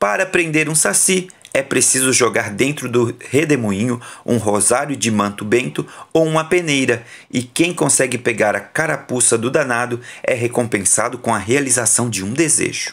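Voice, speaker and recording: Here a man speaks at medium pitch and a moderate pace. His tone is animated and playful, with lively intonation. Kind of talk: bedtime story narration, reading a children's book aloud. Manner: animated, playful storyteller.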